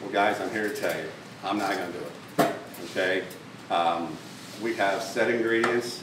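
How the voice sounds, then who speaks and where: Noticeable background noise and audible room echo surround a man's fairly low voice. He keeps a moderate pace with ordinary pitch variation. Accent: American. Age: 60s. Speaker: dog food company owner. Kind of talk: speech. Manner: halting, many fillers and repetitions.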